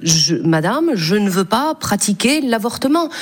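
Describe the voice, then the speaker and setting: There is noticeable background noise behind a woman's voice. She speaks at a medium pitch with very wide pitch swings. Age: 50s. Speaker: senator. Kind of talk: radio interview. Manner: halting.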